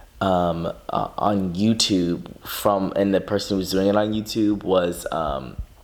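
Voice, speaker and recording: The voice is quiet, with ordinary pitch variation and noticeable background noise. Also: man. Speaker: vlogger. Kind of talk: casual vlog. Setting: at home at night. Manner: fast.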